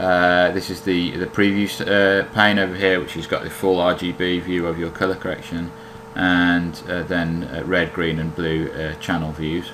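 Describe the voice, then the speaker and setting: With a British accent, a man speaks fairly slowly in a very deep, low pitch, amid audible room echo and noticeable background noise. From Britain. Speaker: software developer demoing own plugin. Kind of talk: tutorial. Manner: hesitant, many fillers.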